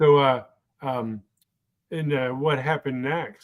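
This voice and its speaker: A man talks at a medium pitch. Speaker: talk show host, stroke survivor. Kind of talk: interview. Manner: halting, many fillers.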